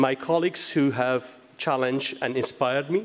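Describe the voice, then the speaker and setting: A man with a Kurdish accent talks at a fairly high pitch with ordinary pitch variation. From Iranian Kurdistan. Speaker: physicist, award recipient. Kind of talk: award acceptance speech. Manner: halting.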